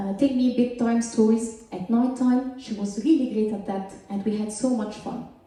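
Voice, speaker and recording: A high-pitched woman with a strong Egyptian accent at a moderate pace, with audible room echo and noticeable background noise. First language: Arabic. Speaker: scientist. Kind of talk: stand-up. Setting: stage with audience.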